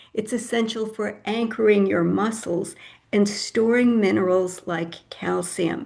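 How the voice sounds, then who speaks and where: At a fairly slow pace, a woman talks with medium pitch and fairly even intonation, and audible room echo surrounds her voice. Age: 70s. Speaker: health educator speaker. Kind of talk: lecture.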